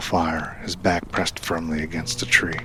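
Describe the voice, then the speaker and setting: Through noticeable background noise, a man speaks at a moderate pace with a very deep, low pitch. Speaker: voice actor. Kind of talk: audio drama narration.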